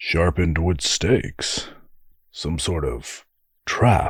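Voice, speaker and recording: A man puts on a character voice at a very deep, low pitch. He talks at a very slow pace. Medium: read story. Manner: jokey, boisterous.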